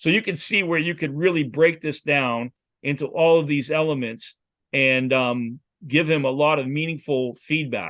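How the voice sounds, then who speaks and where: Speaking at a medium tempo with normal pitch movement, it is a plain, everyday voice. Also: man, fairly high pitch for a man. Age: 60s. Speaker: football quarterback coach. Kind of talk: lecture.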